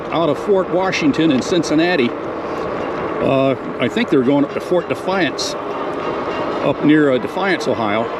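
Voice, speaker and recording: Noticeable background noise sits behind a man speaking with an American accent at a fairly high pitch. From US Midwest, Detroit area. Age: 60s. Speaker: army veteran and e-bike vlogger. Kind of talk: casual vlog narration while riding. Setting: outdoors, on an e-bike in a park. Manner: halting, many fillers.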